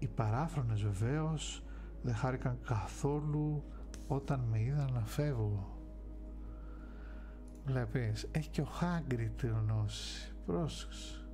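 Clear music plays in the background as a man speaks at a very slow pace. He leaves long, frequent pauses. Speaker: ASMR streamer reading a novel. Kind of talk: audiobook narration of a novel. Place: home room. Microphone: studio mic.

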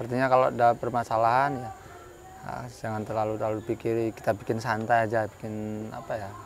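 Speaking at a fairly quick pace with a Javanese accent, a man keeps a medium pitch and monotone, flat intonation in a relaxed tone, the sound dry with no echo over light background noise. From Central Kalimantan, Javanese family. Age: 30s. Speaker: school principal. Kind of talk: interview. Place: garden.

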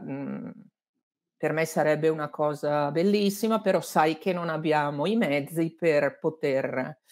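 Against a quiet background, a woman talks at a fairly slow pace in a fairly low voice with ordinary pitch variation. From Lombardy, Abbiategrasso near Milan; Lombardy. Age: 60s. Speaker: journalist and author; interviewed journalist. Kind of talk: interview. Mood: warm, reflective. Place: home room.

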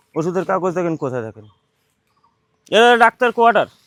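A man talks with a West Bengal accent and lively intonation. The sound is dry and close, with no echo. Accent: West Bengal Bengali. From West Bengal, North 24 Parganas (Duttapukur). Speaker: local resident. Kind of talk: on-location interview.

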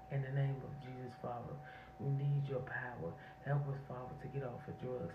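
Her pitch is very deep and low, with fairly even intonation. The woman keeps a moderate pace over noticeable background noise. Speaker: online prayer channel host. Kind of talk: fervent spontaneous intercessory prayer. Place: home room. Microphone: phone near.

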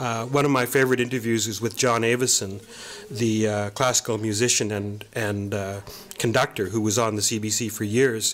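Someone with a Canadian accent speaks at a moderate pace in a monotone, flat intonation. Noticeable background noise runs underneath. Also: man, medium pitch for a man. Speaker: archivist and author. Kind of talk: interview. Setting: studio.

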